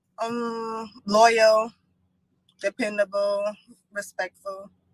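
In a dry, close sound with no echo, a woman with a fairly high pitch speaks at a very slow pace with little pitch movement.

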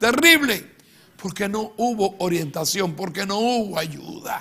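Projecting a raised voice with a bright, sharp tone, a man speaks at a fairly slow pace with lively intonation. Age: 70s. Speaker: pastor. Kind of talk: sermon. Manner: emphatic. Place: studio.

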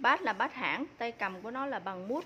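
Lively intonation over light background noise. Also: woman. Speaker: seller presenting fishing rods. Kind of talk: product presentation. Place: shop. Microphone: phone near.

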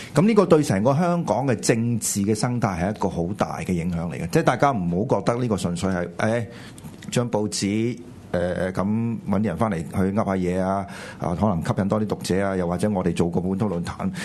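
A man with an unremarkable speaking voice talks at a fairly quick pace. His pitch is fairly low. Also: ordinary pitch variation. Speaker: political talk show co-host. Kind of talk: political commentary chat. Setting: studio with live audience.

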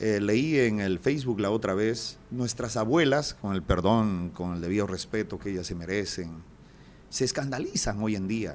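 Over light background noise, the speaker moves at a fairly slow pace with ordinary pitch variation. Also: man, fairly low pitch for a man. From Peru. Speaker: comedian and radio announcer; comedian, radio announcer. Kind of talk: casual interview chat; telling jokes in an interview. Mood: jovial, joke telling. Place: studio. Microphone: studio mic.

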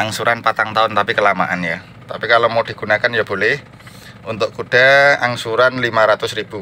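A man keeps a moderate pace and fairly even intonation while light background noise runs underneath. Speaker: used car dealer. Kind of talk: pitchman sales patter, rattling off car listings with prices and installments. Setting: outdoors at the car lot in the rain. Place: garage. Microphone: phone near.

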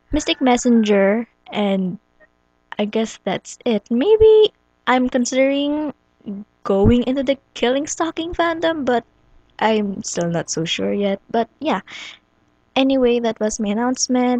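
In a dry, close recording with no echo, a woman with a high pitch and a dark, mellow tone speaks at a fairly slow pace, her intonation lively and her pauses long and frequent. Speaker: fan comic dubber. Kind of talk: casual talk to camera. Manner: hesitant, with pauses and stuttering.

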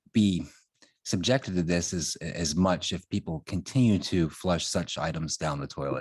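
Soft-spoken speech comes through as a dry, close sound with no echo on a very clean recording with a silent background. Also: man. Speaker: town commissioner. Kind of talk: public meeting questions. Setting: town board meeting.

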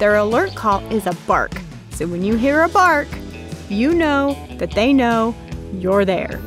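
Over clear background music, a woman speaks at a fairly slow pace in a dry recording with no echo. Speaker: show host. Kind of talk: interview answer. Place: forest. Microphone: lapel.

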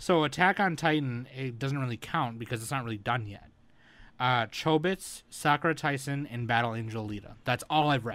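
An ordinary speaking voice from a man, medium in pitch, at a moderate pace with ordinary pitch variation, in a very clean recording with a silent background. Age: 20s. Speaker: anime podcast co-host. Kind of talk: casual chat.

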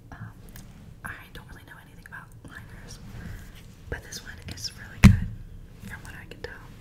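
A woman talks at a moderate pace, leaving long, frequent pauses. Loud background noise runs underneath. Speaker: ASMR creator. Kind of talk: ASMR whisper ramble. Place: bathroom. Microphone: studio mic.

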